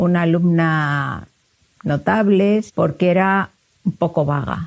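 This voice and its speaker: Her voice is dark and mellow, fairly low in pitch for a woman, with fairly even intonation. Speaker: psychologist and university researcher. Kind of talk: interview.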